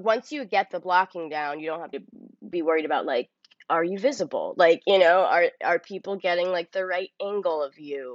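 A woman with an ordinary speaking voice, fairly low in pitch, talks at a moderate pace with lively intonation. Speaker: actress. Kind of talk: casual interview chat. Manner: casual, filler-heavy, uses 'like' often.

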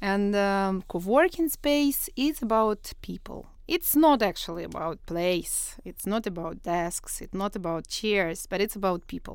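A woman at a fairly slow pace with hardly any pauses and very wide pitch swings, on a very clean recording with a silent background. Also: medium pitch for a woman. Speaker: co-working and startup accelerator founder. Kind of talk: interview. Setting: studio.

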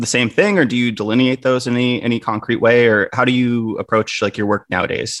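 A man at a medium pitch, talking at a very fast pace with hardly any pauses. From Wisconsin. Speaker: podcast host. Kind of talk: podcast interview.

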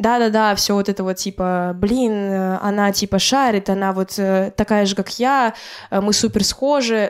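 A woman speaks in a normal speaking voice at medium pitch. Her intonation is fairly even, and the recording is very clean with a silent background. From Karelia, Russia. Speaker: blogger and DJ. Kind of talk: casual chat. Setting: at host's home.

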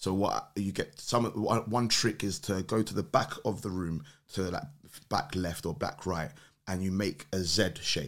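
A man speaks in a London accent with a very deep, low pitch and ordinary pitch variation. His pace is fairly slow, and the recording is very clean with a silent background. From London, England. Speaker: podcast guest. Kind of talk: casual chat.

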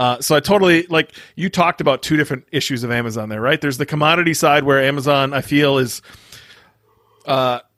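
Speaking at a very fast pace, a man with a fairly high pitch and a bright, sharp tone uses ordinary pitch variation, heard in a dry, close sound with no echo. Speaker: podcast host. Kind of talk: casual interview. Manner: casual, enthusiastic.

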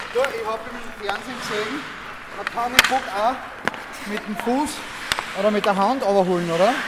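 A man's high-pitched voice at a moderate pace with ordinary pitch variation, set against noticeable background noise and audible room echo. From Austria, Graz (Styria). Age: 30s. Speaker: angler. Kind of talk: casual chat and fishing instruction. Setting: outdoors on a small boat on a lake.

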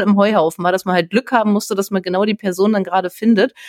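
At a very fast pace, a woman speaks at a medium pitch with monotone, flat intonation, in a dry, close sound with no echo. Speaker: podcast host. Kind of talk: interview.

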